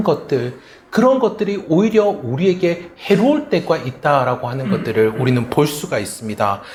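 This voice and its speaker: Speaking with a Gyeongsang accent, a man keeps a moderate pace. His pitch swings very widely. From South Korea, Gyeongsang region. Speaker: pastor. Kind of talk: sermon.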